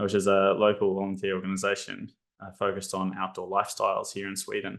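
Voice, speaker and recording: A bright, sharp tone in an Australian accent at a fairly quick pace, against a quiet background. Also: man. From Australia, Brisbane. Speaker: psychology lecturer. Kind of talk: webinar presentation. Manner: hesitant, many fillers.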